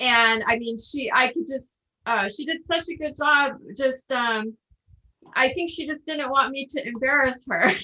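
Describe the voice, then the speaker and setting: A woman's high, raised and projected voice with a bright, sharp tone, at a fairly slow pace with ordinary pitch variation. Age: 40s. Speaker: interviewer. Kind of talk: interview.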